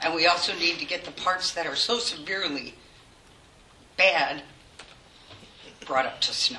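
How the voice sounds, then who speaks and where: There is audible room echo and noticeable background noise as a woman speaks at a moderate pace. Her pitch is fairly low with ordinary variation, and she takes long, frequent pauses. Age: 60s. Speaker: resident speaking at public comment. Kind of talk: public comment at council meeting. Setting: village board meeting room.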